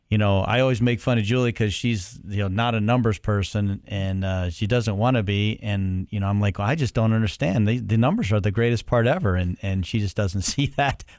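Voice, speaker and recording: Over a very clean recording with a silent background, a man with a Cleveland accent talks at a fairly quick pace, his fairly low pitch following fairly even intonation. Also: hardly any pauses. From Cleveland, Ohio. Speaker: podcast co-host. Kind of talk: interview.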